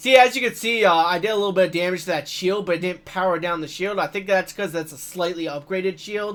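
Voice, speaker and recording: The speech runs fairly quickly, its pitch varying in an ordinary way. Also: man. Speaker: gaming youtuber. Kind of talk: let's play commentary. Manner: casual, hesitant with fillers.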